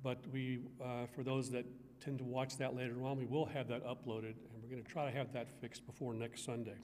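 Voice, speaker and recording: A man's monotone, flat delivery at a fairly quick pace, with light background noise. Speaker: church minister giving announcements. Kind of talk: church announcements. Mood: warm, friendly. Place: church. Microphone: podium.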